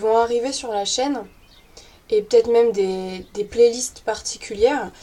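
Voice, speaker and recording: A woman's fairly high-pitched voice with a dark, mellow tone, ordinary pitch variation and a moderate pace. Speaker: YouTuber on witchcraft and paganism. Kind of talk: casual vlog. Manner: spontaneous, many hesitations.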